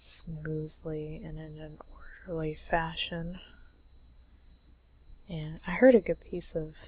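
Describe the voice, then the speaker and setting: A woman with a husky voice talks at a very slow pace, leaving long, frequent pauses. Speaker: comic artist. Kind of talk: casual drawing commentary.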